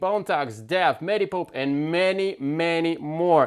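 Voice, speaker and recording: The speaker is a man with a non-native accent and a fairly high pitch, with ordinary pitch variation. It is a very clean recording with a silent background. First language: not English. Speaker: podcast host, music producer. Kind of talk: podcast interview.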